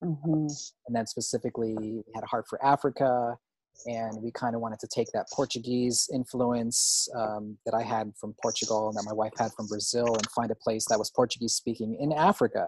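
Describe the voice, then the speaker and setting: An ordinary speaking voice with an American accent moves at a fairly quick pace. Intonation stays fairly even, and the sound is dry and close with no echo. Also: man, medium pitch for a man. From US East Coast (Virginia, Pennsylvania). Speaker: faith-based filmmaker. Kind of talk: casual interview chat.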